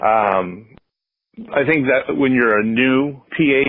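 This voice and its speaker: Pitch variation here is ordinary. The voice belongs to a man. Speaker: public address announcer. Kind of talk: interview answer. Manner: hesitant, many fillers.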